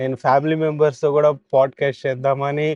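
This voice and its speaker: The sound is dry and close with no echo. A man speaks at a fairly high pitch. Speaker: podcast host. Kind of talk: podcast intro.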